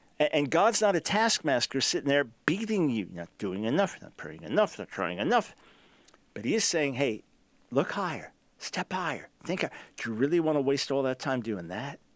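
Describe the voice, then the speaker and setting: With vocal fry and an animated tone, a man talks at a moderate pace, his voice making very wide pitch swings and big swings in loudness. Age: 60s. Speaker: radio host and Bible teacher. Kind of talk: sermon-style teaching on a talk show. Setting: on the road, remote broadcast.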